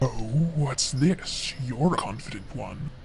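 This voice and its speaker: A man speaks in a put-on character voice with a fairly high pitch, at a fairly slow pace, over clear background noise. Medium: game stream. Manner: mocking, smug.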